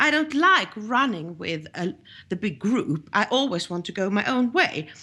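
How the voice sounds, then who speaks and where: In a Swedish accent, a woman speaks at a moderate pace with a fairly high pitch and a bright, sharp tone, her pitch swinging very widely. The recording is very clean with a silent background. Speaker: journalist. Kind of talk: interview. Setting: podcast. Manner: halting.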